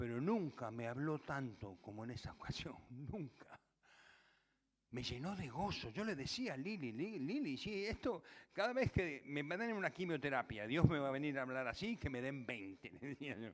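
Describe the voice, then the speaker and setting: Very wide pitch swings mark this man's fairly high voice. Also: moderate pace. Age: 70s. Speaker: pastor. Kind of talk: sermon.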